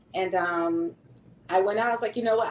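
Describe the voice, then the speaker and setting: Noticeable background noise fills the clip. Through it, a woman talks with ordinary pitch variation. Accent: American. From US South (Louisiana), later Sacramento. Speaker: non-profit executive director and caregiver. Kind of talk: podcast interview.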